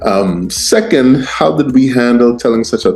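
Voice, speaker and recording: A man speaks while music plays in the background. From Guyana, moved to US at fourteen. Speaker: TV showrunner and writer. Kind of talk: interview answers. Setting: writing office. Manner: halting, many fillers and repeats.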